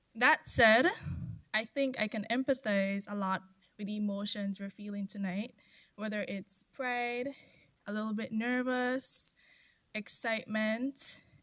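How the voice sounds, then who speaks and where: Soft-spoken, a woman talks at a fairly slow pace with long, frequent pauses. Her voice sits at a fairly high pitch with a bright, sharp tone. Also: fairly even intonation. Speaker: former scholarship recipient giving a speech. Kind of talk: ceremony speech. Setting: stage with audience.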